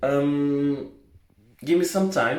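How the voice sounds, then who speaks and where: Over noticeable background noise and audible room echo, a man with a Portuguese accent speaks very slowly in a fairly high voice with ordinary pitch variation. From Portugal. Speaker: vlogger. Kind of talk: casual vlog monologue. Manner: halting, many fillers.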